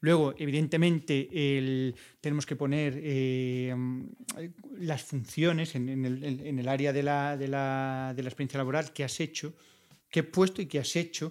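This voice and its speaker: Monotone, flat intonation from a man at a fairly high pitch and moderate pace, in a very clean recording with a silent background. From Valencia, Spain. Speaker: career coach and trainer. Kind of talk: interview. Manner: halting, many fillers and repetitions.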